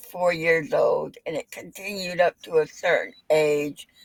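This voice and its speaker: Fairly slow, fairly low speech from a woman in a plain, everyday voice, the sound dry and close with no echo. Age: 60s. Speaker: psychic medium. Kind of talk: casual chat.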